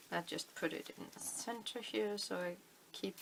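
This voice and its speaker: With a Danish accent, a woman speaks at a moderate pace in a fairly low pitch. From Denmark. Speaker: crafting video maker. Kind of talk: tutorial. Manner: halting, many fillers.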